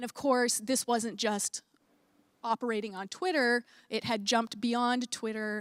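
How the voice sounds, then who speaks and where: In a dry, close sound with no echo, a woman with an American accent speaks at a fairly slow pace with fairly even intonation. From United States. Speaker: academic researcher. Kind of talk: panel talk. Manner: many filler words, hesitant.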